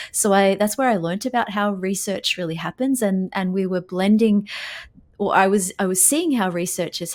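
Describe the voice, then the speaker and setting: Talking at a fairly quick pace, a woman with a medium-pitched voice speaks with an Australian accent. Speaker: physical therapy researcher and journal editor. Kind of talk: podcast interview.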